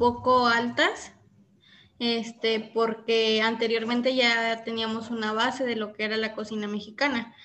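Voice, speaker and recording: At a fairly slow pace, a woman speaks in a monotone, flat way at a fairly high pitch. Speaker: gastronomy student. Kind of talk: casual chat.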